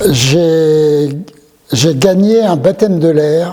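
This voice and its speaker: A man's fairly high voice, with ordinary pitch variation, carries over noticeable background noise. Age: 70s. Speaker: retired airline pilot. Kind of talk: interview testimony. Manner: hesitant, many fillers.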